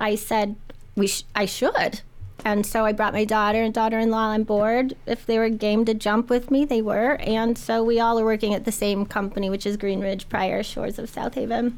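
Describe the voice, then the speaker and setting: A woman's fairly high voice with an American accent, flat and monotone in intonation, amid noticeable background noise. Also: moderate pace. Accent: Midwestern, noticeable to locals. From Indiana. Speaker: realtor. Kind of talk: casual radio interview. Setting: studio.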